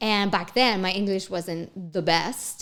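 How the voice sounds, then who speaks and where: A woman speaks with a Spanish accent. Her tone is animated. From Mexico. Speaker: actress and entrepreneur. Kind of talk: casual chat.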